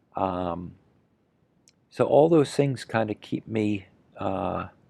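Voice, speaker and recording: A man speaks at a very slow pace in a fairly low voice, his tone dark and mellow and his intonation lively. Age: 60s. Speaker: horse riding trainer. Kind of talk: interview. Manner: halting, many fillers and repetitions.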